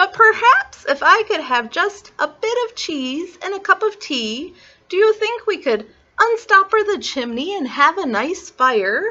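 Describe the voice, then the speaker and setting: Put-on character voice, squeaky, delivered at a fairly slow pace. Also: woman, extremely high pitch for a woman. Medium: read story. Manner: polite, mild, genteel.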